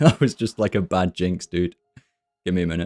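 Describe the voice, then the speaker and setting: A man with a British accent speaks at a fairly quick pace in a very deep, low pitch. His tone is deadpan, and the sound is dry and close with no echo. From Britain. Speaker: video game streamer. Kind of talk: live gameplay stream chat. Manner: monotone, deadpan.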